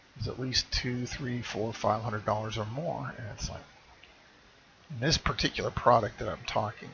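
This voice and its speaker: A man mumbles quietly at a moderate pace, his loudness swinging widely. Noticeable background noise runs underneath. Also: medium pitch for a man, ordinary pitch variation. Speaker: online marketer vlogger. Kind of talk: casual vlog talk to camera. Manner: trails off quieter, mumbling; halting, many fillers. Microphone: webcam recording, speaker says too quiet.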